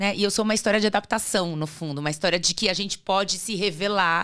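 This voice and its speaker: Speaking at a fairly quick pace, a woman is heard on a very clean recording with a silent background. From Brazil, São Paulo state interior and Natal. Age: 50s. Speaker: career speaker, former magazine colleague. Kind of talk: casual interview chat.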